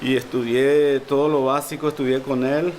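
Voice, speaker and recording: Someone with a Paraguayan accent speaks over noticeable background noise. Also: man. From Paraguay, Lambaré. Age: 50s. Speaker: harpist. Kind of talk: interview. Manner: halting.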